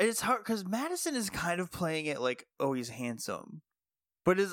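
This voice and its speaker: Speaking with an American accent, a man with a fairly high pitch makes very wide pitch swings. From Appalachia, US. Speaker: podcast co-host. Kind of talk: casual chat, episode recap.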